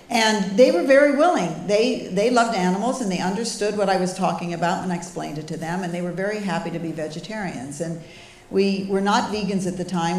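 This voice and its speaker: Amid noticeable background noise and audible room echo, a woman talks at a fairly quick pace in a medium pitch with ordinary pitch variation. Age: 70s. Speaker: speaker on healthy eating. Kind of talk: public talk.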